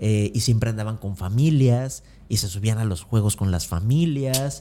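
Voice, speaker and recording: Ordinary pitch variation and a fairly slow pace in a man's medium voice. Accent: Mexican. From Mexico, Acapulco. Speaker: motivational speaker, former theme park employee. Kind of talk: interview conversation.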